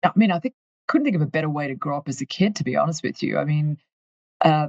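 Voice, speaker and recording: A woman speaks at a very fast pace in a very deep, low pitch. Her voice is somewhat breathy, with a dry, close sound and no echo. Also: ordinary pitch variation. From Australia, far north Queensland. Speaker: company finance executive. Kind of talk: interview.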